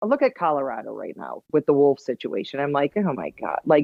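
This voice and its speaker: A woman in a Wisconsin accent sounds animated, her pitch swinging very widely at a fairly quick pace. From Wisconsin, US Upper Midwest. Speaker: hunter and outdoor TV personality. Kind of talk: casual podcast interview.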